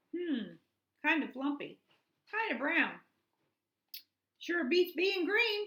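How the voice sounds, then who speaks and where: Putting on a character voice, a woman speaks at an extremely high pitch and a very slow pace, with long, frequent pauses. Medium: read story. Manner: energetic.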